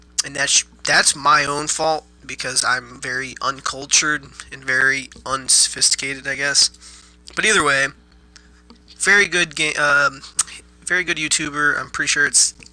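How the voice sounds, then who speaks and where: With music in the background, a man speaks at a fairly high pitch and leaves long, frequent pauses. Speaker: gaming YouTuber. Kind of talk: casual gameplay tutorial.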